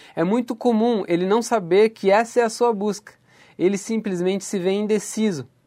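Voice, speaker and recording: Pitch varies in an ordinary way as a man speaks at a fairly slow pace. The recording is very clean, with a silent background. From Santa Catarina, Brazil (far west, São Miguel do Oeste). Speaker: podcast host. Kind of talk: motivational talk.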